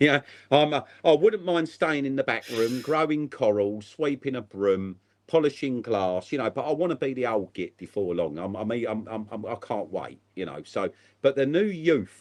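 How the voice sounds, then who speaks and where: Against a quiet background, a man with a southeast English accent speaks at a moderate pace. His medium pitch has very wide pitch swings. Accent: south-east English. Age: 50s. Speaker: aquarium shop owner. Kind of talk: casual chat. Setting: live stream.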